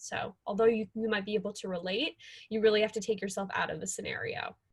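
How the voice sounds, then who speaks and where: The speech comes at a very fast pace, somewhat breathy, with ordinary pitch variation. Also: woman. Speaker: consultant presenting a workshop. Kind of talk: workshop presentation. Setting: video call.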